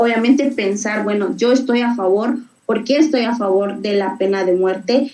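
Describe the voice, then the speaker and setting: A woman speaks at a fairly slow pace with a fairly high pitch and ordinary pitch variation. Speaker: debate workshop instructor. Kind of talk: online workshop lecture. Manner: halting with fillers.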